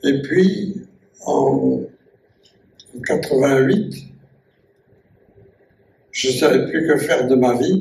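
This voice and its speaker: This is a man speaking. His pace is very slow. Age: 80s+. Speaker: caver and scientist. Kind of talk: public talk recalling memories. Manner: hesitant, repetitive.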